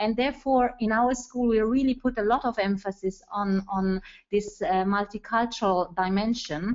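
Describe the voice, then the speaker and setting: Speaking at a moderate pace with very even loudness, a woman with an Italian accent uses a fairly high pitch and ordinary pitch variation. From Italy. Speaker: school educator, webinar participant. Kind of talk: webinar discussion comment. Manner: halting, many fillers.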